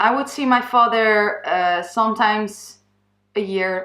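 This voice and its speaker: Bright, sharp tone from a woman with fairly even intonation, on a very clean recording with a silent background. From Netherlands. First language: Dutch. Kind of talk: personal testimony vlog. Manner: halting, with fillers and false starts.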